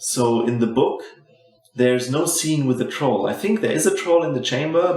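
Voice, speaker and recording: A man with a German accent at a moderate pace and ordinary pitch variation, amid noticeable background noise and audible room echo. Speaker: movie commentary youtuber. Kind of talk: casual commentary while watching a film. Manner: hesitant, with false starts.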